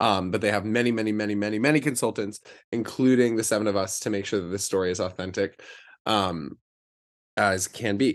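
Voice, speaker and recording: Against a quiet background, a man talks at a fairly quick pace in a fairly low voice with fairly even intonation. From US South, Charlotte, North Carolina. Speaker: Broadway actor. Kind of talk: interview. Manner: halting, many fillers.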